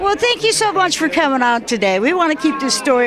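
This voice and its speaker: Speaking at a very fast pace with very wide pitch swings, this voice has an American accent, with crowd noise in the background. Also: woman. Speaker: interviewer. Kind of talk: interview. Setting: airport hangar event.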